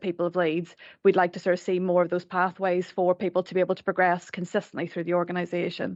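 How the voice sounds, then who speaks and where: In an Irish accent, a woman talks at a very fast pace, her dry, close sound free of echo over a quiet background. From Ireland. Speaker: staff network representative. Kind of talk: formal committee presentation. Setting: council committee meeting room.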